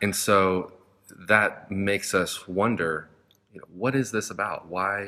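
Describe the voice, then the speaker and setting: The speaker has an American accent and a bright, sharp tone, talking at a fairly slow pace. Intonation stays fairly even while loudness swings widely. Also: man, fairly low pitch for a man. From United States. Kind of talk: casual chat.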